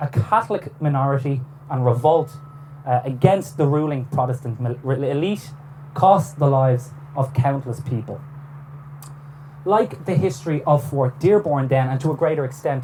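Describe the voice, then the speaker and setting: With noticeable background noise behind him, a man with an Irish accent speaks at a moderate pace in a fairly high pitch. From Ireland. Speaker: historian. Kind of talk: lecture. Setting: on a boat cruise. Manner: formal.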